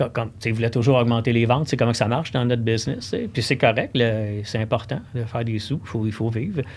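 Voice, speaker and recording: On a very clean recording with a silent background, a man talks at a very fast pace, somewhat breathy, with a medium pitch and fairly even intonation. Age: 60s. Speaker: cross-country ski expert at a sports shop. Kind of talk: casual podcast interview.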